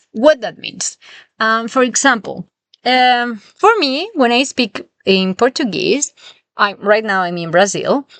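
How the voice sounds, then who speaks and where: A woman's high-pitched voice with a strong Spanish accent, lively intonation, and a dry, close sound with no echo. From southern Spain. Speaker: language teacher. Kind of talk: podcast lesson. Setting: in a camper van.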